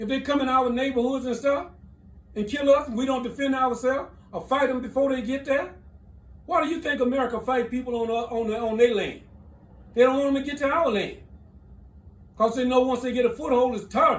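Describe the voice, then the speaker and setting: Amid audible room echo, a man with an extremely high voice talks at a fairly quick pace, broken by long, frequent pauses. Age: 70s. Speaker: military veteran. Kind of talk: political commentary. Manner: animated.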